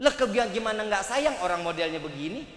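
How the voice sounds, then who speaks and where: Over noticeable background noise and audible room echo, a man with a Jakarta accent speaks at a moderate pace in an animated tone with very wide pitch swings. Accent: Betawi. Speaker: Islamic preacher. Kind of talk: sermon.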